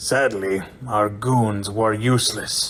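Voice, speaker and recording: In a put-on character voice, a man speaks fairly slowly at a fairly low pitch with monotone, flat intonation. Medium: audio drama.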